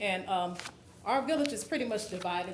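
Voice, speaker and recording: Very fast speech comes from a woman at a medium pitch. Audible room echo and noticeable background noise surround her. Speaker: resident speaking at public comment. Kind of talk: public comment at council meeting. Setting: council meeting. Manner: shaky voice.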